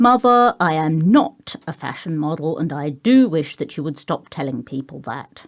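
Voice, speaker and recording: Speaking at a moderate pace with an English accent, a woman with a very deep, low pitch makes very wide pitch swings and big swings in loudness. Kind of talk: audiobook reading.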